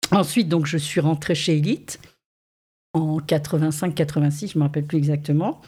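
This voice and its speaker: Somewhat breathy speech at a fairly slow pace. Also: woman. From southern France (Saint-Raphaël). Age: 50s. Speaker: modelling agency director. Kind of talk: interview.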